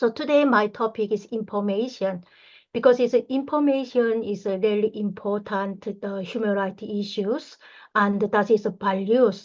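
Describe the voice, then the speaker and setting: A woman with a Korean accent speaks at a fairly high pitch over a quiet background. Her intonation stays fairly even at a moderate pace. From North Korea. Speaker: human rights activist. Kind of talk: online lecture. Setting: online session. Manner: halting.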